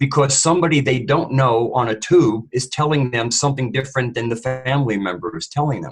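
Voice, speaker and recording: This man's voice is somewhat breathy and fairly high in pitch, with ordinary pitch variation at a moderate pace. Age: 60s. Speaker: panel co-host. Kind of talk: panel discussion.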